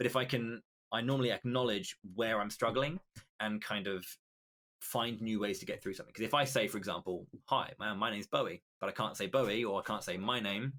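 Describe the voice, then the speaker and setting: In a British accent, a man talks at a fairly quick pace and medium pitch with ordinary pitch variation. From Britain. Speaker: esports commentator. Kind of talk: podcast interview. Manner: halting.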